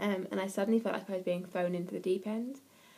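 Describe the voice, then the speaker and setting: This fairly quick speaker with an English accent has a dark, mellow tone and monotone, flat intonation. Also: woman. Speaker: parenting vlogger. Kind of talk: casual vlog. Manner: fast.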